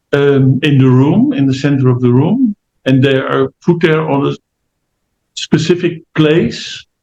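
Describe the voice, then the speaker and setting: In a Dutch accent, a man speaks at a fairly slow pace with a fairly high pitch. His tone is dark, mellow and somewhat breathy, with ordinary pitch variation. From Netherlands. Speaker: family constellation therapist. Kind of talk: interview. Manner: halting, many fillers.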